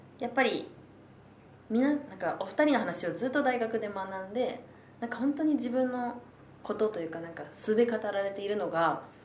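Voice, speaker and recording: A woman's fairly high voice at a moderate pace, lively in intonation, with noticeable background noise and audible room echo. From Tokyo (Asakusa). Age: 20s. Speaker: university student. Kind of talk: casual chat. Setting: public recording with audience.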